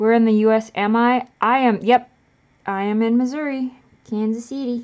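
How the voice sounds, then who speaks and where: With an American accent, a woman speaks at a fairly high pitch in a monotone, flat intonation. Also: moderate pace. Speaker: live streamer. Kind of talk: casual chat. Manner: casual, halting with restarts.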